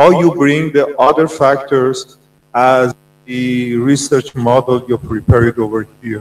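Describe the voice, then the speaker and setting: A man speaks at medium pitch. His pace is fairly slow. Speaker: academic examiner. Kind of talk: question and answer. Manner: slow, simple phrasing.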